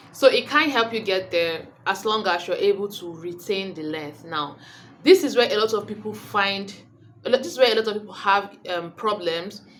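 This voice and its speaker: At a moderate pace, a woman with a medium pitch speaks with lively intonation and big swings in loudness. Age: 20s. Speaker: beauty vlogger. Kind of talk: casual vlog talk. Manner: rambling, self-correcting.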